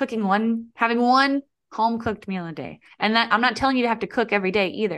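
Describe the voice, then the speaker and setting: A woman speaks at a fairly quick pace in an ordinary speaking voice, fairly high in pitch, against a quiet background. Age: 30s. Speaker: health coach. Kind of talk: interview conversation.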